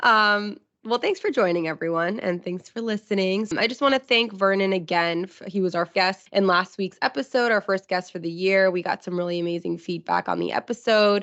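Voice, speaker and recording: Fairly quick speech from a woman at a medium pitch, with ordinary pitch variation and hardly any pauses. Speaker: podcast co-host. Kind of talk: casual podcast chat. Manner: subdued.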